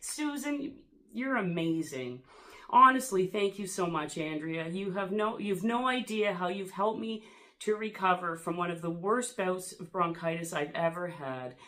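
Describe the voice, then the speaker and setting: At a moderate pace, a woman talks in a medium pitch with lively intonation. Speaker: YouTuber. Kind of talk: casual vlog, reading subscriber mail. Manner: animated.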